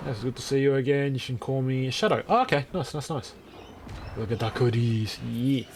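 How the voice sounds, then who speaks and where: A man talks at a moderate pace and a medium pitch. His pitch varies in an ordinary way, with noticeable background noise present. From Australia. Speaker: video game streamer. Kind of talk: live gameplay stream chat.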